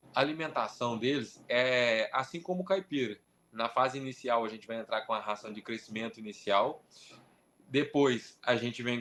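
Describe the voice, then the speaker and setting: A man speaks in an unremarkable speaking voice at a medium pitch. His pace is moderate, with ordinary pitch variation. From interior of São Paulo, Brazil. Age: 20s. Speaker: poultry breeder. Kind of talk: interview.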